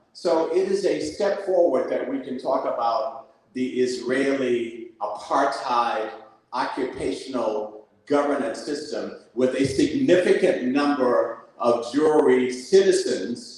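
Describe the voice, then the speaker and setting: Spoken at a very slow pace, the voice carries an audible room echo. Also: man. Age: 70s. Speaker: community activist. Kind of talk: panel discussion. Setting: live event with audience. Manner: animated.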